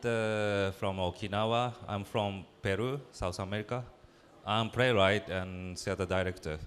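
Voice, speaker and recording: A man talks with a Japanese accent at a fairly slow pace. His pitch is fairly low, with ordinary variation. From Japan, Tokyo area. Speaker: playwright and theater director. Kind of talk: symposium presentation. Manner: halting.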